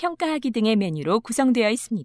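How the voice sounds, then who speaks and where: Dry and close with no echo, a woman's fairly high voice has a dark, mellow tone and very wide pitch swings. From South Korea. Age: 30s. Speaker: voice actor. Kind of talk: e-learning narration.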